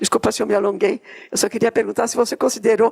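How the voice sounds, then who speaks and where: This woman talks at a very fast pace in a fairly high pitch. The sound is dry and close, with no echo. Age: 70s. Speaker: audience member asking a question. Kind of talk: audience question at public seminar.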